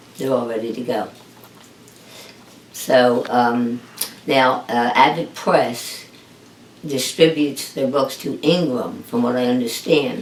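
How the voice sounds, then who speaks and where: With audible room echo, a woman speaks at a very slow pace with long, frequent pauses, her very deep, low pitch showing ordinary variation. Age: 70s. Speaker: author. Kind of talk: interview. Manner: hesitant, many fillers.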